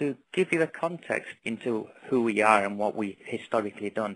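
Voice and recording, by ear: This man talks at a moderate pace in a Northern English accent, his fairly low pitch paired with a fairly bright tone and lively intonation.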